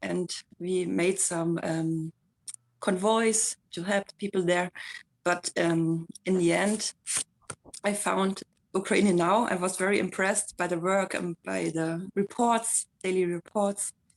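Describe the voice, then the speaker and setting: A woman with a German accent speaks at a very slow pace and a medium pitch, her intonation monotone and flat, with long, frequent pauses and a dry, close sound with no echo. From Germany. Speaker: community volunteer. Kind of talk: casual chat. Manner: halting.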